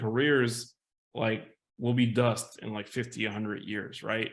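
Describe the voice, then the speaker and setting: A man's ordinary speaking voice at a medium pitch and a moderate pace. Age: 50s. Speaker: game writer and narrative designer. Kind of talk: panel discussion.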